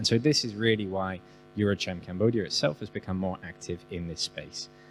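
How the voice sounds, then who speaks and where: Over music in the background, a man with a British accent speaks at a moderate pace in a very deep, low voice with ordinary pitch variation. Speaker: business chamber representative. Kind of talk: panel discussion.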